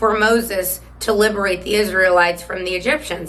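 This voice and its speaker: A woman's voice, moderately paced, with noticeable echo from the room. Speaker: political commentary host. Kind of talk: political commentary monologue. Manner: casual, hesitant with fillers.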